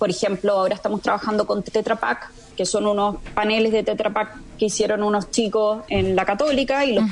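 Talking very fast in a medium pitch with ordinary variation, the woman is heard over noticeable background noise. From Chile, moved to Spain at 18. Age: 40s. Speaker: entrepreneur, founder of eco-construction company. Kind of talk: radio interview.

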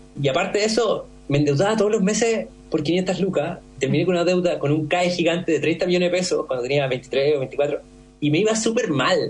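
A man speaks fairly quickly in a high voice, with ordinary pitch variation and very even loudness. Background noise is noticeable. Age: 30s. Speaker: entrepreneur, founder of a glass recycling company. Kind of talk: interview. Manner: fast.

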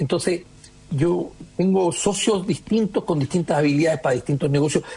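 Noticeable background noise behind male speech with ordinary pitch variation. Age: 50s. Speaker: entrepreneur. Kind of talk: radio interview.

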